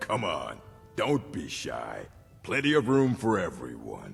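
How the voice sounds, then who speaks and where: A put-on, raspy character voice talks at a fairly slow pace with clear music in the background. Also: man. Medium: video game. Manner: pompous, theatrical.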